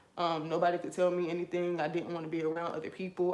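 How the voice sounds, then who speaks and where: Amid noticeable background noise, a woman with a fairly low pitch talks at a very fast pace. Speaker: vlogger. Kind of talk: personal testimony while doing hair. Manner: animated.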